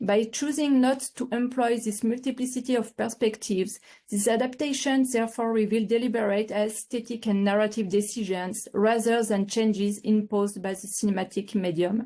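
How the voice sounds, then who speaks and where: Dark and mellow in tone, a woman with a fairly high pitch speaks at a moderate pace with hardly any pauses. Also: fairly even intonation. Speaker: PhD researcher presenting dissertation. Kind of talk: academic presentation. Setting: online seminar video call. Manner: formal, read from script.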